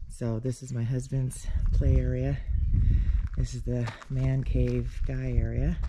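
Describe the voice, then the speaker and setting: The speech moves at a very slow pace. Noticeable background noise runs underneath. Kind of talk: casual vlog chat. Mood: relaxed, light laughs. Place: open country. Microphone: phone near.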